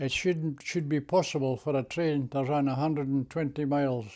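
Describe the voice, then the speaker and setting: A man with a fairly high pitch and a dark, mellow tone speaks at a moderate pace with fairly even intonation, on a very clean recording with a silent background. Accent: Scottish. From Scotland, Scottish Borders. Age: 80s+. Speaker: war veteran. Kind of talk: interview answer.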